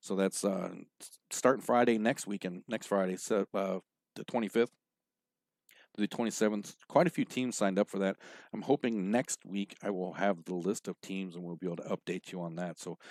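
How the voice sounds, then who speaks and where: Recorded very cleanly against a silent background, with a dry, close sound and no echo, a man speaks fairly quickly at a fairly low pitch with ordinary pitch variation. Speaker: pool show host. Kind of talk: event announcements on live show. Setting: live stream show. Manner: fast.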